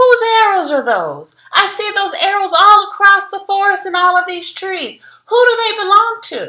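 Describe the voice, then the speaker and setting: A woman's squeaky put-on character voice at an extremely high pitch, moderate in pace with hardly any pauses. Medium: cartoon. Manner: proud, questioning.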